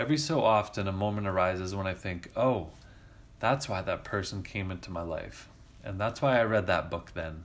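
A man's ordinary speaking voice, fairly low in pitch with ordinary pitch variation, at a moderate pace. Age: 30s. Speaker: podcast host, writer. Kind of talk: reading aloud of own essay.

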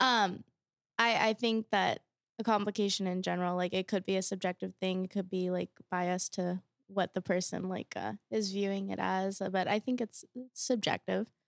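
With a normal speaking voice at medium pitch, a woman talks at a moderate pace with fairly even intonation in a dry, close sound with no echo. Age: 20s. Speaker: college student guest. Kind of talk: casual interview chat.

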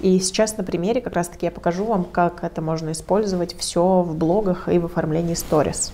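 A woman's fairly low, dark and mellow voice, fairly quick with hardly any pauses and fairly even intonation. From Russia, Protvino (Moscow region). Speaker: digital marketer and community organizer. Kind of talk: lecture.

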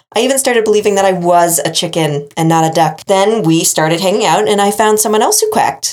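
Talking very fast with hardly any pauses, a woman with an American accent keeps a medium pitch, ordinary pitch variation and very even loudness. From New England, US. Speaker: podcast host. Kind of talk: casual chat.

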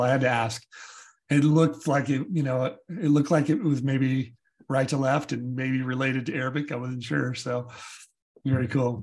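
Somewhat breathy, a man with an American accent talks at a moderate pace and medium pitch, his intonation fairly even. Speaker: podcast host. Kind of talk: casual interview. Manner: halting, with fillers.

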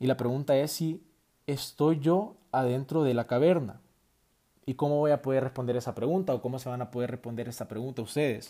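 A man with a Salvadoran accent and a dark, mellow tone speaks at a fairly quick pace, with medium pitch and ordinary pitch variation, on a very clean recording with a silent background. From El Salvador. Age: 20s. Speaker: university student podcaster. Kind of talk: solo podcast monologue. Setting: at home late at night. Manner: hesitant, many fillers.

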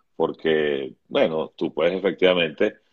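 The man talks at a fairly slow pace. Vocal fry runs through his voice. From Venezuela. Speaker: writer and TV screenwriter. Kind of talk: interview.

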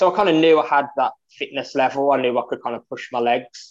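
A man talks with a Birmingham accent. His intonation stays fairly even. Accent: Birmingham (Brummie) English. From Birmingham, England. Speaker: amateur ultra runner, charity fundraiser. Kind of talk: casual interview. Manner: hesitant, many fillers.

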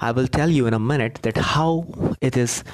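A man with an Indian accent, medium pitch and ordinary pitch variation. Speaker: podcaster, book storyteller. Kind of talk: solo storytelling podcast. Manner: halting, with repetitions.

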